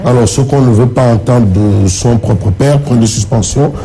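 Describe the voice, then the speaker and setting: There is noticeable background noise. The pace is moderate. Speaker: press review presenter. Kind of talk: TV press review. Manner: repetitive, stammering.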